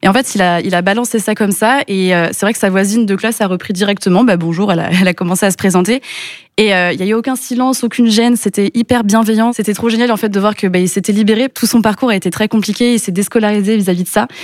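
Very fast-talking woman at a medium pitch, fairly even intonation, noticeable background noise. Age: 20s. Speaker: entrepreneur. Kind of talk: interview.

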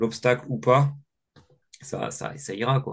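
The speech comes at a very slow pace with ordinary pitch variation against a quiet background. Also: man. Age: 20s. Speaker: adventurer and ski instructor. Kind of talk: interview. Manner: hesitant, many fillers and repetitions.

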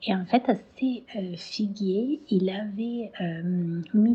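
A medium-pitched woman with an Italian accent and ordinary pitch variation. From Italy, Tuscany (Siena). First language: Italian (speaking French). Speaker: herbalist. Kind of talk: testimony. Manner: halting, many hesitations.

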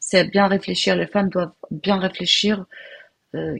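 Here a woman speaks at a fairly slow pace. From Algeria (Algiers, Kabyle family). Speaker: home cook and caterer. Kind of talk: interview, life story. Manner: halting, repeats words.

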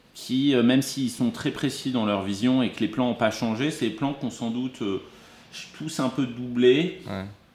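At a fairly slow pace, a man with a medium-pitched voice speaks with ordinary pitch variation. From Burgundy, France (Dijon). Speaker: film producer. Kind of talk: interview conversation. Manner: halting, many repetitions and hesitations.

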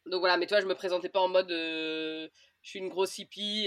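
Her voice sits at a medium pitch as this woman speaks at a fairly quick pace. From France, Orléans. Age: 30s. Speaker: traveller, former journalist. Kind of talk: interview. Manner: casual, hesitant with fillers.

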